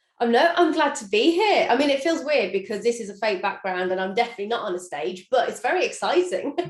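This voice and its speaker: Music plays behind a woman speaking at a very fast pace with hardly any pauses. Her fairly high voice makes very wide pitch swings. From England, Birmingham. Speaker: chef and social media cook. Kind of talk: interview. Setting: video call.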